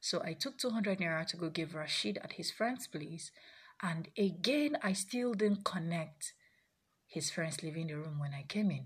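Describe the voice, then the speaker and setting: Fairly slow, somewhat breathy speech from a woman, fairly low in pitch, with lively intonation. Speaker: sex therapist. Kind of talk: personal storytelling monologue.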